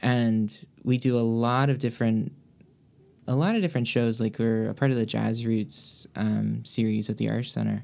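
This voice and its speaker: A man's normal speaking voice with an American accent, at medium pitch and a moderate pace, with ordinary pitch variation and very even loudness, on a very clean recording with a silent background. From North Carolina, Greensboro. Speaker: musician and orchestra personnel manager. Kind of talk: interview.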